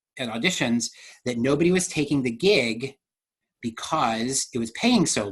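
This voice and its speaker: A man with an American accent speaks at a medium pitch in an animated tone. His voice is somewhat breathy. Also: lively intonation, moderate pace. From Delaware, US. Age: 40s. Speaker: dancer, actor and director. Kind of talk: interview.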